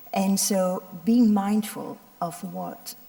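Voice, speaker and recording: Over noticeable background noise, a woman talks at a medium pitch with ordinary pitch variation. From Belgium, Ardennes. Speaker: doctor, head of a medical volunteer organization. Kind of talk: panel talk. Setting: stage with audience. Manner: halting, many fillers.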